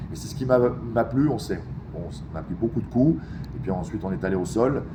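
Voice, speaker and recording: A man with a fairly low voice talks at a fairly quick pace over noticeable background noise, with audible echo in the room. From Geneva, Switzerland. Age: 40s. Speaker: MMA fighter. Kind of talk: interview. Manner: halting, many hesitations.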